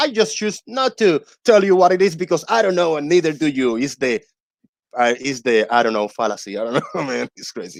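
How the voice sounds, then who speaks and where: A man with a non-native accent speaks at a fairly quick pace and a fairly high pitch, with very wide pitch swings. The sound is dry and close, with no echo. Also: quiet background. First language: not English. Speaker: debunker of flat earth claims. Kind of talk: casual chat.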